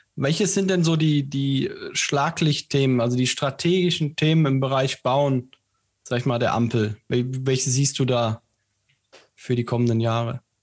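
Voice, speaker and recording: With an ordinary speaking voice at a medium pitch, a man speaks at a fairly slow pace with ordinary pitch variation and very even loudness in a very clean recording with a silent background. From Siegen, Germany. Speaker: podcast co-host. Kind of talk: interview.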